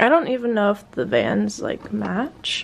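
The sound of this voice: A woman's fairly high-pitched voice with vocal fry.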